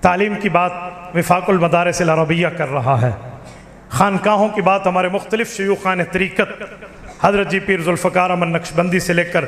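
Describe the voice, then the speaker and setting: Over noticeable background noise, a man talks at a moderate pace in a high-pitched, animated tone. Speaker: Islamic cleric and preacher. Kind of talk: religious speech. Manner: animated, rhetorical.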